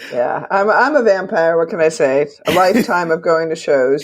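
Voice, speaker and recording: Amid noticeable background noise, a woman with an American accent speaks at a moderate pace. Her fairly low voice has lively intonation. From US Pacific Northwest, Seattle. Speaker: music critic and author. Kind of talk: interview conversation.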